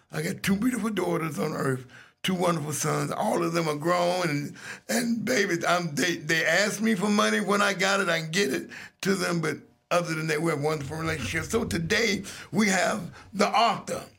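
At a moderate pace, a man speaks with a high pitch and ordinary pitch variation, his voice carrying audible room echo. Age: 60s. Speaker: radio host. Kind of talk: casual chat. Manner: animated.

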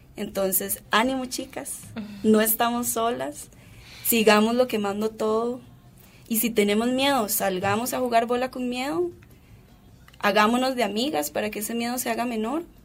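Over music in the background, a woman speaks at a fairly high pitch with ordinary pitch variation and long, frequent pauses. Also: moderate pace. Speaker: footballer and philosophy graduate. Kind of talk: radio interview.

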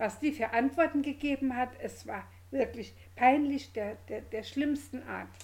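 A high-voiced woman at a fairly slow pace with fairly even intonation. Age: old. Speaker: podcast co-host, grandmother. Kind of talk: casual chat.

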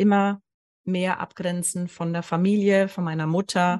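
A woman at a fairly slow pace, dry and close with no echo, against a quiet background. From Allgäu, southern Germany. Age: 40s. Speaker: hypnosis coach. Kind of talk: interview storytelling.

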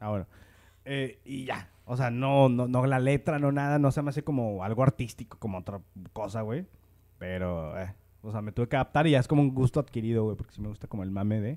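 A man talks at a fairly quick pace with a Mexican accent. His medium-pitched voice has a dark, mellow tone and ordinary pitch variation. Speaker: podcast host. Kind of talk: casual chat.

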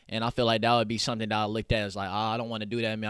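The recording is very clean with a silent background. A man with an American accent speaks at a fairly low pitch. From Oklahoma City east side. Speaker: rapper and clothing entrepreneur. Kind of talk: casual interview.

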